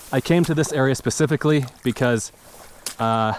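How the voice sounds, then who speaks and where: A man talks at a moderate pace. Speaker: fly fishing youtuber. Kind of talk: casual vlog narration outdoors. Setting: outdoors by a creek. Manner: loud; hesitant with fillers.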